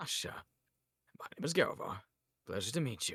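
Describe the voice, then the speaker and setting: In a raspy, put-on character voice, a man with a fairly high pitch talks at a fairly quick pace. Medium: actual play. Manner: formal, measured.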